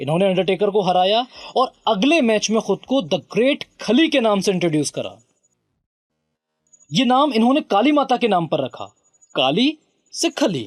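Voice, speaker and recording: With music playing behind him, a man speaks at a high pitch with very wide pitch swings and long, frequent pauses, in a dry, close sound with no echo. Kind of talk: biography narration; documentary narration.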